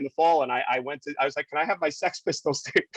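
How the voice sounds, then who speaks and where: The fairly high voice of a man with an American accent comes through as a dry, close sound with no echo. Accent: New York accent (was strong in college). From New York City, Queens. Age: 50s. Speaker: TV news reporter. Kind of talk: podcast interview, casual chat. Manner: animated, conversational with false starts.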